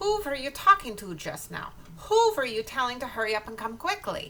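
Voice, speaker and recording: A woman puts on a character voice with a high pitch and very wide pitch swings, talking at a fairly quick pace over clear background noise. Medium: read story. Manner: snappish, commanding.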